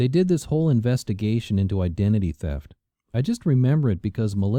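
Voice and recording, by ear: Reading aloud in a natural voice with lively intonation, the speaker is heard over a quiet background.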